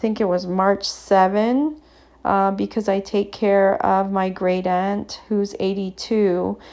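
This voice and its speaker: Speaking at a very slow pace, a woman has a dark, mellow tone at a medium pitch, with fairly even intonation. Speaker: artist. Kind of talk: voiceover commentary. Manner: halting, many fillers; stutters at times.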